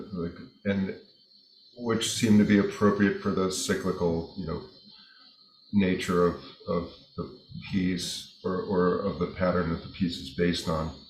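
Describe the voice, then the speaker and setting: In an American accent, this speaker talks at a fairly slow pace with fairly even intonation and long, frequent pauses, and audible room echo surrounds the voice. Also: man, very deep, low pitch for a man. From New York. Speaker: jazz guitarist. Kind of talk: interview. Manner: halting.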